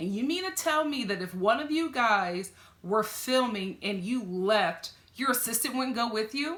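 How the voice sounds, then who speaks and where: A woman's animated tone and lively intonation at a moderate pace, over noticeable background noise. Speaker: TV reality show reviewer. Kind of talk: reaction video commentary. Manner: animated, conversational.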